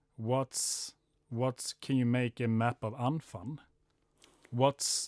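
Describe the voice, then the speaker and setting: A man speaks at a medium pitch with a Swedish accent and fairly even intonation. The recording is very clean and dry, close with no echo, over a silent background. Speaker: podcast co-host, sports scientist. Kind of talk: casual interview chat.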